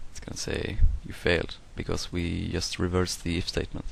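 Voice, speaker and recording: Speaking with a non-native accent, a man keeps a moderate pace and a flat, monotone intonation. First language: not English. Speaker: software tutorial maker. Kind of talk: tutorial. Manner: hesitant, many fillers.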